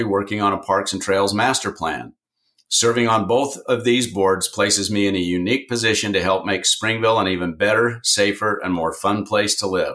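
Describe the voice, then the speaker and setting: Fairly low in pitch, a man with an American accent and a bright, sharp tone speaks at a moderate pace with fairly even intonation. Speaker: city council member. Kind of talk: campaign statement.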